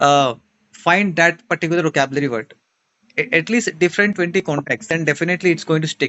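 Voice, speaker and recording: Speaking at a high pitch for a man, he moves at a fairly quick pace with ordinary pitch variation. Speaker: online English teacher. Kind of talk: casual conversation interview.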